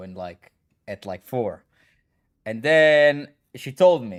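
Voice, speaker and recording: This man has a medium-pitched voice, captured in a very clean recording with a silent background. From Israel. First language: Hebrew. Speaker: gaming streamer and coach. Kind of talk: casual live stream chat.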